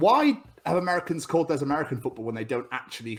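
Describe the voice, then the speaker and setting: The speaker is a man with a southern English accent. His pitch is high. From England, Cheltenham (born in Scotland). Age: 30s. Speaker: podcast host. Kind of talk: casual chat.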